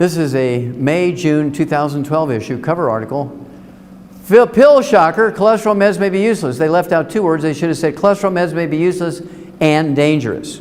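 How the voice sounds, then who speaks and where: With audible room echo and noticeable background noise, a man talks fairly quickly at a fairly high pitch with lively intonation. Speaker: health lecturer. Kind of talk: lecture. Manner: animated.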